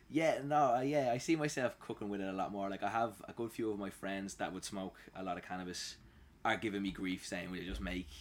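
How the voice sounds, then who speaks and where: Speaking at a fairly quick pace, a man with a Dublin accent uses lively intonation at a fairly low pitch. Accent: Dublin Irish. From Ireland, Dublin. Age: 30s. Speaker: home cook. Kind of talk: casual chat.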